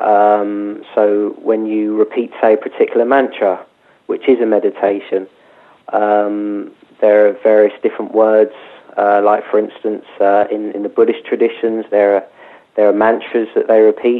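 Speaking at a moderate pace, a man uses a fairly low voice with monotone, flat intonation. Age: 30s. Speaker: meditation teacher and author. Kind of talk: guided meditation, calm spoken instructions inviting listeners to follow the breath; interview on radio talk show.

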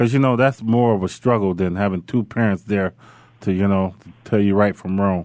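A normal speaking voice, fairly quick, with fairly even intonation. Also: man, fairly low pitch for a man. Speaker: radio host, former football player. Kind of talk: casual chat.

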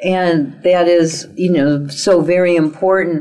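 The pitch of a woman's voice varies in an ordinary way as she talks. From Italian-American. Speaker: internet radio talk show host and psychic relationship guide. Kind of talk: talk radio interview. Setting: internet radio studio.

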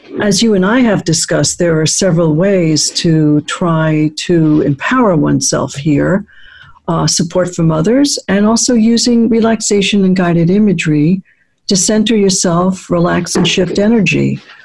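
A woman speaks with a fairly low pitch and a warm, somewhat breathy tone. Her loudness stays very even throughout. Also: ordinary pitch variation, moderate pace. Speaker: radio host and psychologist. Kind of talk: radio show interview. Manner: polished, warm and measured, professional radio-host delivery.

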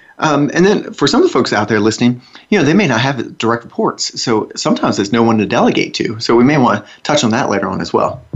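Barely pausing, a man with a Southern US accent talks at a very fast pace in a medium pitch. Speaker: radio host. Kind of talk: casual co-hosted radio talk. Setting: studio.

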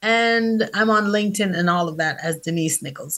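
A woman speaks in a medium pitch with a bright, sharp tone. The background is quiet. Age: 40s. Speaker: author and publishing coach. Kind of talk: casual chat.

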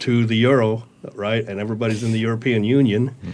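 In an American accent, a man with a medium-pitched, plain, everyday voice speaks at a moderate pace with fairly even intonation. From US, small-town Utah. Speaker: panel guest. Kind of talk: panel discussion.

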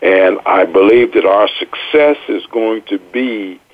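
The background holds noticeable noise. Through it comes a man's voice. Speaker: radio co-host, retired army officer. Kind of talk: radio interview.

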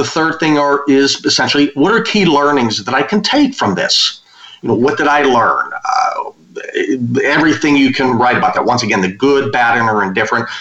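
At a moderate pace and with hardly any pauses, a man talks at a very even loudness over noticeable background noise. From western Pennsylvania. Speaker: business consultant and author. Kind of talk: interview.

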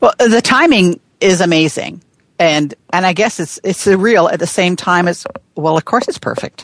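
At a moderate pace, a woman with a medium pitch and ordinary pitch variation speaks in a warm, enthusiastic tone, the sound dry and close with no echo. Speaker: coach and storyteller. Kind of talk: casual conversational interview.

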